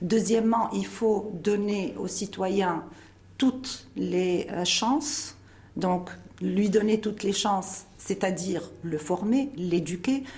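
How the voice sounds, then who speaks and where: A woman speaks very slowly at a medium pitch with ordinary pitch variation. Room echo is audible. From Tunisia. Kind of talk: interview.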